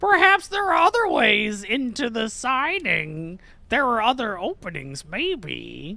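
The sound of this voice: Someone does a cackling, put-on character voice at a fairly slow pace. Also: woman, fairly high pitch for a woman.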